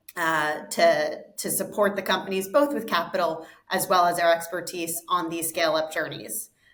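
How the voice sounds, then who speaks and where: A woman with an American accent and a fairly low pitch talks at a moderate pace with ordinary pitch variation, hardly any pauses and audible room echo. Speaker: investment fund co-founder. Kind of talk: interview.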